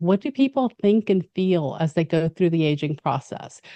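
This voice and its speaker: Against a quiet background, a woman with an American accent speaks at a fairly low pitch in a dark, mellow tone, the sound dry and close with no echo. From Mexico City and US. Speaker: gerontology expert. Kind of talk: interview.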